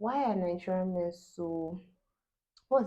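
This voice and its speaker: Fairly low female voice, its tone dark and mellow. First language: Yoruba. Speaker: YouTuber. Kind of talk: casual chat. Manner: animated.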